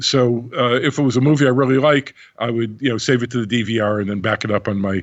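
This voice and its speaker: A man at a medium pitch, talking at a very fast pace. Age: 70s. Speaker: audio expert. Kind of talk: interview conversation.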